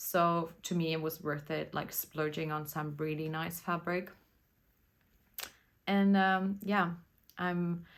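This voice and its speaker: Speaking at a fairly slow pace with a German accent, a woman keeps a monotone, flat intonation at a fairly low pitch. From Germany. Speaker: knitting podcaster. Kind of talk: casual chat. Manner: casual, hesitant with fillers.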